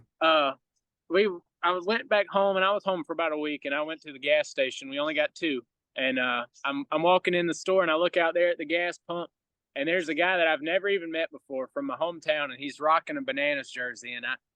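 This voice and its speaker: A man in a Southern US accent, fairly high-pitched and very fast, with ordinary pitch variation. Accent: Southern US country. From US South, rural Georgia. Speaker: baseball entertainer. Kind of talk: podcast interview.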